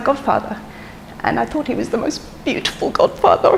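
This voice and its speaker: A woman talks over noticeable background noise. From London and Dublin. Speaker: eulogist, daughter of the deceased. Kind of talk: memorial speech. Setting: memorial service with audience. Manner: hesitant, with frequent ums.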